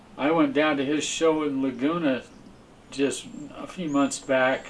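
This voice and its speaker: A man at a fairly high pitch and a very slow pace, with audible room echo and noticeable background noise. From California. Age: 80s+. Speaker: abstract painter. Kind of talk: interview reminiscence. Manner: halting with repetitions.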